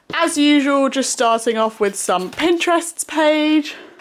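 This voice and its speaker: Lively intonation runs through a woman's speech. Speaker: YouTuber, art student. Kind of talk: casual chat.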